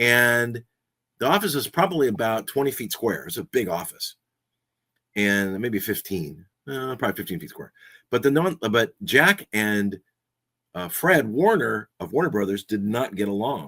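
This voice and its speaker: A man's medium-pitched voice with an American accent, bright, sharp and relaxed in tone, with very wide pitch swings at a moderate pace. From Southern California. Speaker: podcaster and radio host, voice over actor. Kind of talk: casual talk to camera, podcast chat about personal history. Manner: conversational, relaxed, humorous.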